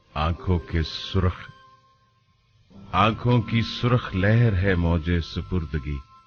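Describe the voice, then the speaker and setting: A man's very deep, low voice over music in the background, with ordinary pitch variation and very even loudness. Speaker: radio jockey and poetry reader. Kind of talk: Urdu poetry reading.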